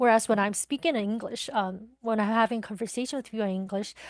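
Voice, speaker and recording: A woman in a Mandarin accent, fairly high-pitched with fairly even intonation, in a dry, close sound with no echo and a quiet background. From Taiwan. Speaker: podcast guest. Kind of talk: interview. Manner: hesitant, many fillers.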